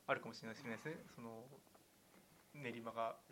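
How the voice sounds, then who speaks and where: A man talks at a fairly quick pace. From western Tokyo, Tanashi. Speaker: podcast co-host. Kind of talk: casual chat.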